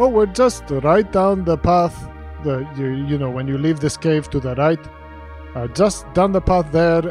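Over clear music in the background, a man puts on a squeaky character voice with a fairly high pitch, speaking fairly slowly. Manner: chatty, casual, rambling.

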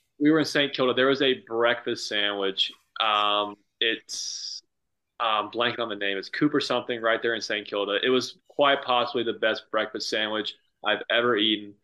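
A man with an American accent speaks in a bright, sharp tone at a medium pitch. His intonation is fairly even, and the background is quiet. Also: moderate pace. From northeastern US. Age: 20s. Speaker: golf professional. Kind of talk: casual chat. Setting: video call.

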